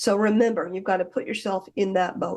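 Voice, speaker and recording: A woman talks at a medium pitch. She has a normal speaking voice. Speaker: hypnotist and hypnosis teacher. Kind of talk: self-hypnosis instructional talk. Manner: conversational, friendly.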